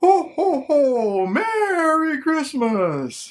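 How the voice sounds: A woman's high voice, done as a put-on character, leaps through very wide pitch swings.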